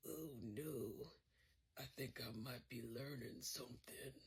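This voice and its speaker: A woman puts on a raspy character voice at a very deep, low pitch, speaking at a fairly slow pace. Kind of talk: political comedy puppet sketch. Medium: puppet. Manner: brash, stammering when flustered.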